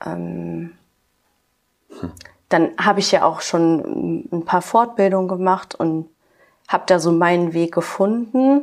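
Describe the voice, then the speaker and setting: A woman talks very slowly, leaving long, frequent pauses. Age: 20s. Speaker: kindergarten teacher. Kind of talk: interview. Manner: hesitant, many filler sounds.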